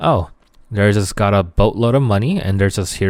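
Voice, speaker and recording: A Korean accent at a fairly quick pace, on a very clean recording with a silent background. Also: man. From South Korea, moved to Canada young. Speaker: esports podcast host and content creator. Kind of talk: solo podcast monologue. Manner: casual, filler-heavy.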